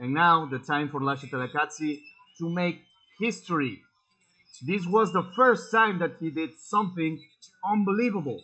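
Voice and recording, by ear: A man at a moderate pace, fairly high in pitch, with a bright, sharp tone. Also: ordinary pitch variation.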